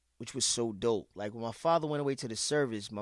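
A man talks at a fairly quick pace with a normal speaking voice, medium pitch and ordinary pitch variation. The recording is very clean, with a silent background. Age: 40s. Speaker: record collector and DJ. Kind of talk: casual interview chat.

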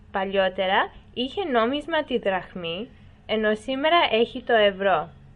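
Intonation is lively as a woman speaks at a very slow pace. Her pitch is fairly high for a woman. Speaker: voice-over narrator. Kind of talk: documentary-style educational narration, read aloud. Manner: even, measured, formal, clear pacing.

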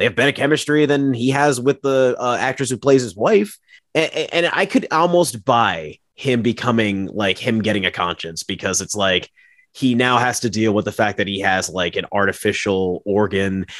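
A man with a normal speaking voice, medium pitch, lively intonation and a moderate pace. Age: 30s. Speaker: podcast guest co-host. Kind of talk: casual chat.

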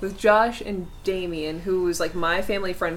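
Medium pitch from a woman at a fairly quick pace, with audible room echo and noticeable background noise. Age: 20s. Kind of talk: casual chat.

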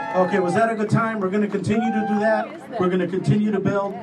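A man's fairly even intonation is heard against noticeable background noise. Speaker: alderman. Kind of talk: speech at public event. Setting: stage with audience.

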